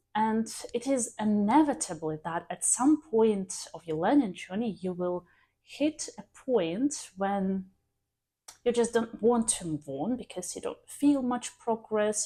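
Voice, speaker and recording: Fairly high in pitch, a woman speaks fairly slowly with a dark, mellow tone and lively intonation. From Belarus. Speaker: English teacher. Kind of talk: educational vlog. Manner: hesitant with filler words.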